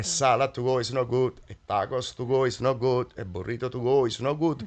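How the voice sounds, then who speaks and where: Speaking at a fairly quick pace, a man with an Italian accent keeps a medium pitch and fairly even intonation. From Naples, Italy. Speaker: chef and restaurant owner. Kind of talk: interview answer.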